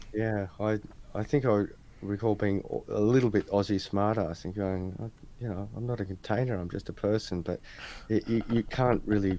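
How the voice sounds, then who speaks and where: Using an Australian accent, a man speaks at a moderate pace in a fairly low voice with a dark, mellow tone. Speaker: crypto podcast host. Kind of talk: casual interview chat. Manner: animated storytelling.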